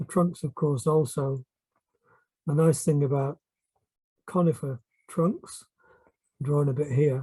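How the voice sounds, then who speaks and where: With a dark, mellow tone that is somewhat breathy, a man speaks at a fairly slow pace with fairly even intonation. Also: dry, close sound with no echo. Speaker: art teacher. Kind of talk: tutorial. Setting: at home.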